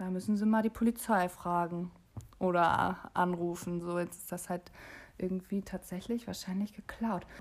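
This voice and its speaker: A woman speaks at a medium pitch and moderate pace with monotone, flat intonation. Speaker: podcast co-host. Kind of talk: casual chat.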